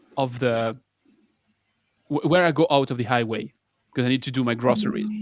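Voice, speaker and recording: The man speaks with a French accent, and the sound is dry and close with no echo. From France. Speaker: water engineer co-host. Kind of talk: casual discussion.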